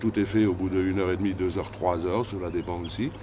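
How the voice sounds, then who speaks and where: A man speaks at a fairly low pitch with monotone, flat intonation. Noticeable background noise runs under his voice. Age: 60s. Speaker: shaman healer. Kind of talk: interview.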